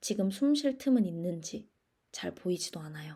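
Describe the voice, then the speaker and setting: Lively intonation in a somewhat breathy voice with a dark, mellow tone. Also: woman. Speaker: podcast host. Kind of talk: scripted solo podcast monologue. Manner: deliberately slowed, careful pace.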